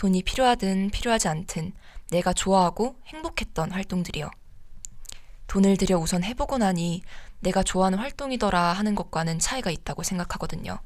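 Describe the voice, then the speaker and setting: Ordinary pitch variation and a fairly quick pace in a normal speaking voice. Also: woman, medium pitch for a woman. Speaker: student radio DJ. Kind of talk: radio show, advice and reading listener stories.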